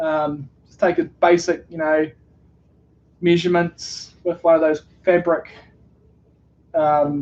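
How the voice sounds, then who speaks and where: The speaker, in a New Zealand accent, goes at a fairly slow pace. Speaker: streamer. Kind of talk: casual live stream chat.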